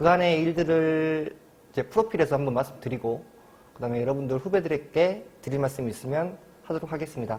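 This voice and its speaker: Lively intonation and a fairly quick pace mark this speech in a strong Jeolla accent. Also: man. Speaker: labor attorney. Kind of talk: lecture. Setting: university study room.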